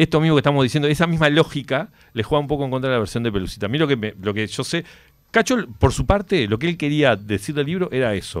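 Over a quiet background, a man with a fairly high pitch talks at a very fast pace with lively intonation. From Uruguay. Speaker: author of a biography; interview guest. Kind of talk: radio interview, casual chat; interview answer. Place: studio. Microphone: studio mic.

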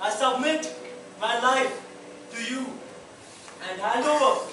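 A man speaks in a raised, projected voice. There is audible room echo and light background noise. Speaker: actor in religious play. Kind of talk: theatrical monologue. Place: stage. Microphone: camera far.

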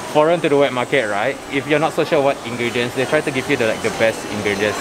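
A man speaks very quickly, his pitch varying in an ordinary way, while noticeable background noise carries on behind him. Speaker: local friend guiding the vlogger. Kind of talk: casual vlog chat. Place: market. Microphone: phone near.

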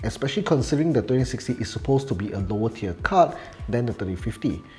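A man's medium-pitched voice with very wide pitch swings over music in the background. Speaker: tech reviewer. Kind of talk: casual talk to camera.

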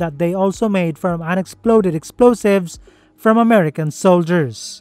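With music in the background, a man speaks at a moderate pace in a high pitch with ordinary variation, the sound dry with no echo. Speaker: narrator. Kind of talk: documentary explainer narration.

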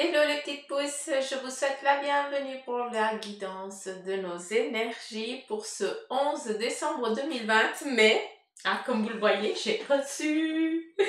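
Audible room echo carries a woman's high-pitched voice as she speaks very slowly. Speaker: card reader. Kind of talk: casual vlog chat. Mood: happy, laughing. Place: office.

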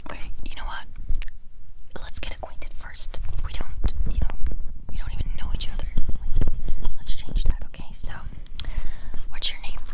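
A woman is whispering. Her speech has long, frequent pauses. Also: moderate pace. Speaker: ASMR creator. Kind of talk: ASMR roleplay, soft close talk. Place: home room. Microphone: lapel.

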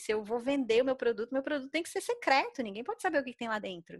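A woman's high-pitched voice. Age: 30s. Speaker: mathematician and open-source software developer. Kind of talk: casual podcast interview.

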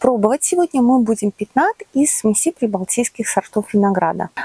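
A woman speaks at a moderate pace. The sound is dry with no echo, and the background is quiet. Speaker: channel host. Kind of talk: casual vlog chat. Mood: warm friendly. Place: farm. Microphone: lapel.

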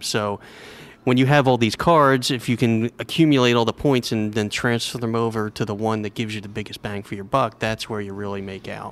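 A man with a normal speaking voice and medium pitch talks fairly quickly with big swings in loudness, on a very clean recording with a silent background. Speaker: travel blogger. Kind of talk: casual interview. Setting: breakfast nook at a hotel.

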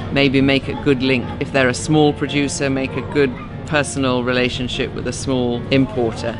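A woman's very deep, low voice at a moderate pace, monotone and flat, with clear music in the background. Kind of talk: interview answer. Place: garden.

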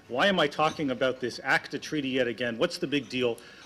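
A man with a Canadian accent at a fairly quick pace, music in the background. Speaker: law professor. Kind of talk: conference talk.

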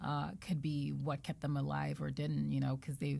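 Spoken with an American accent at a moderate pace, the voice has a dark, mellow tone. It is somewhat breathy, with fairly even intonation. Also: woman. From Nigeria and Zambia, with years in the US. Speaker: patient advocate; podcast guest. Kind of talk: interview, personal testimony. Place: studio. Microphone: studio mic.

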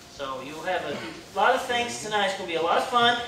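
Over light background noise, a man raises and projects his voice in a room with audible echo. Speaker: pastor making announcements. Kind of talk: church announcements. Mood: cheerful, joking. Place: church.

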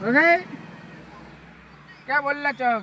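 Against noticeable background noise, a man uses a raised, projected voice with lively intonation. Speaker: vlogger. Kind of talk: travel vlog. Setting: in a car. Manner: casual, chatty.

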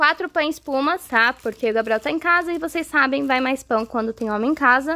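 Lively intonation in a high-pitched female voice. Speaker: home vlogger. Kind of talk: casual vlog chat. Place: home room. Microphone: phone near.

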